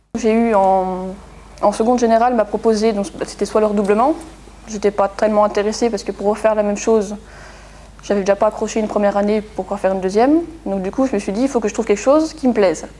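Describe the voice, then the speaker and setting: A woman's fairly high voice at a very fast pace, with ordinary pitch variation and noticeable background noise. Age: 20s. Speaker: engineer. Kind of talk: testimony interview. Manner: halting, many fillers.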